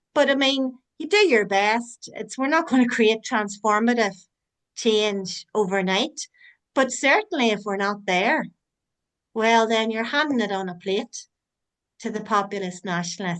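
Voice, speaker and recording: A woman speaks with an Irish accent at a fairly high pitch. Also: ordinary pitch variation, fairly slow pace. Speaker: online forum host. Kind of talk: closing remarks in online meeting.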